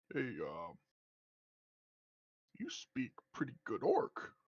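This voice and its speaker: In a put-on character voice, the speaker delivers the words at a very slow pace. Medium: actual play. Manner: hearty, laughing.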